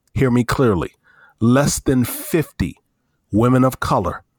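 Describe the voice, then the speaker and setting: A man speaks with fairly even intonation, the sound dry and close with no echo. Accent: American. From US South. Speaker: podcast co-host, diversity and inclusion speaker. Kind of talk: casual discussion.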